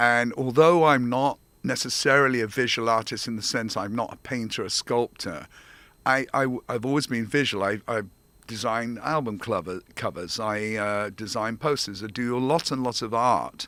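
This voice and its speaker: A man's bright, sharp voice with an English accent, medium pitch, ordinary pitch variation and moderate pace, on a very clean recording with a silent background. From England. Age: 70s. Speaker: theater director and founder. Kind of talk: interview.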